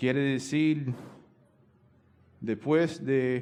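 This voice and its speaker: The speech comes at a very slow pace in a Cuban accent, with fairly even intonation. Echo from the room is audible. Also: man. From United States. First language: English (speaking Spanish). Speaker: pastor. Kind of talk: sermon. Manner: halting, many fillers.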